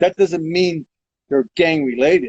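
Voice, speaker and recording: It is an unremarkable speaking voice. The delivery is moderately paced. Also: man. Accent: American. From Modesto, California. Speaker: lowriding veteran. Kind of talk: interview answer. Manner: casual.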